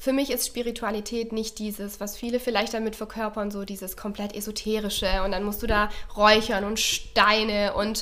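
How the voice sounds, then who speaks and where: A woman with a slight Swabian accent speaks at a moderate pace, her pitch fairly high and her intonation fairly even. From Baden-Württemberg, near Stuttgart. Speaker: relaxation trainer. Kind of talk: casual chat. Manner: hesitant, many fillers.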